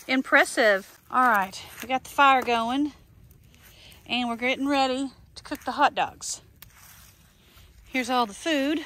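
A woman's high-pitched voice with a bright, sharp tone, ordinary pitch variation, a slow pace, and long, frequent pauses.

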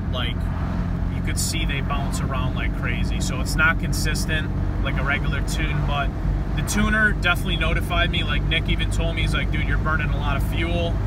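A man's voice with a dry sound, no echo, and loud background noise. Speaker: car enthusiast vlogger. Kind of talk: casual vlog chat. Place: car. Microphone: phone near.

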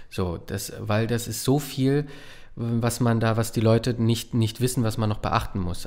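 Against a quiet background, a man speaks at a fairly slow pace with ordinary pitch variation. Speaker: voice actor and puppeteer; voice actor. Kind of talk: casual chat. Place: studio. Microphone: studio mic.

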